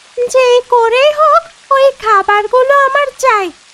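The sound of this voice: A female-sounding cartoonish character voice is pitched extremely high. It moves at a fairly slow pace.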